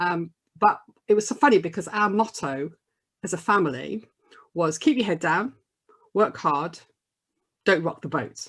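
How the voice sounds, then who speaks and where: A woman with a Birmingham accent speaks at a medium pitch. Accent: Birmingham (Brummie) English. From Birmingham, English Midlands. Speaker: diversity and inclusion coach. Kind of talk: podcast interview.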